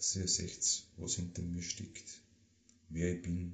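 A man speaks very slowly with a Lower Austrian accent. His very deep, low voice is somewhat breathy. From Austria, Waldviertel (Lower Austria). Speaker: singer-songwriter. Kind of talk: personal monologue. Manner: informal, dialect-colored.

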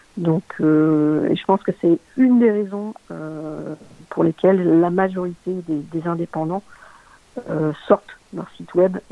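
A woman's fairly low voice at a very slow pace, with big swings in loudness, ordinary pitch variation and noticeable background noise. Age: 40s. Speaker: LinkedIn community manager and content strategist. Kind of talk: interview. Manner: halting, many fillers and repetitions.

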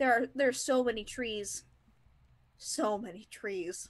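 A woman talks in an animated, enthusiastic tone. She has an Upper Peninsula Michigan accent. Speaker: co-host. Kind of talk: casual chat. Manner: animated, enthusiastic, filler-heavy.

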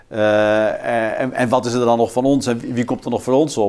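With fairly even intonation and a medium pitch, this man talks at a moderate pace. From Netherlands, Twente (Haaksbergen). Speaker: political researcher. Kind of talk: in-depth interview. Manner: halting, many repeated words.

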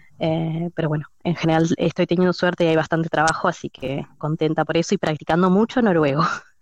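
A woman talks at a fairly quick pace with hardly any pauses and fairly even intonation, her pitch fairly low and a plain, everyday voice. The sound is dry and close, with no echo. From Argentina. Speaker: former cleaner, kindergarten assistant. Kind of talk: casual chat.

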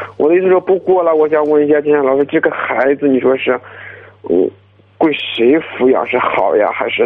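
Against noticeable background noise, a man talks at a moderate pace in a fairly high pitch, with ordinary pitch variation and very even loudness. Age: 20s. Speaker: construction worker. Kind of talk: advice call-in. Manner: mumbling. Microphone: muffled, speakerphone.

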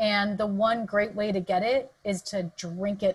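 A woman with an American accent speaks at a medium pitch. Her voice is somewhat breathy, and her pace is fairly slow. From Southern California. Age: 40s. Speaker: dietitian and exercise physiologist. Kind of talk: interview conversation. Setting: video call.

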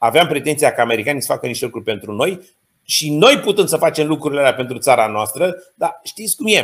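The delivery is very fast. Intonation is lively throughout. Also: man, fairly high pitch for a man. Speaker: geopolitics and diplomacy expert. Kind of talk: interview.

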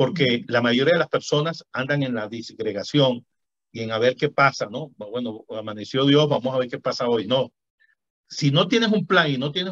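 An ordinary speaking voice from a man, fairly high in pitch, with lively intonation at a moderate pace and a dry, close sound with no echo. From Venezuela. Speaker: physician and author. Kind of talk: interview conversation.

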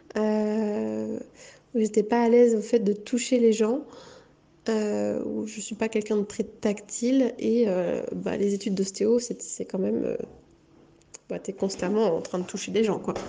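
Using a dark, mellow tone, a woman with a fairly high pitch speaks at a very slow pace in a monotone, flat intonation, with long, frequent pauses. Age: 20s. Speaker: psychomotor therapist. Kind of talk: interview. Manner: halting.

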